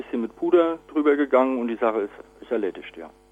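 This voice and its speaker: A man's medium-pitched voice at a fairly quick pace, full of lively intonation. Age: 30s. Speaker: department manager. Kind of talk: interview. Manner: halting, many fillers.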